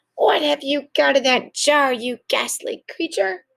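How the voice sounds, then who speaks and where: In a put-on character voice, a female-sounding speaker talks at a fairly slow pace, shrill and high-pitched. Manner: shrieking, hostile.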